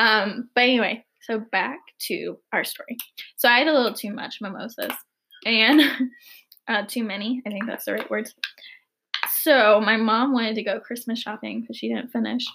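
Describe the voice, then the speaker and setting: With vocal fry and an American accent, a woman at a fairly high pitch speaks at a moderate pace with fairly even intonation and long, frequent pauses. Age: 20s. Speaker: podcast host. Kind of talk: casual chat. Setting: drinking cider while recording.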